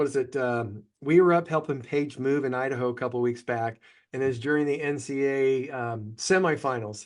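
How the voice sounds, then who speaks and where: A man of medium pitch speaks at a fairly quick pace with fairly even intonation. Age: 60s. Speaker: financial advisor and podcast host. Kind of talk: casual chat. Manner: halting, many fillers.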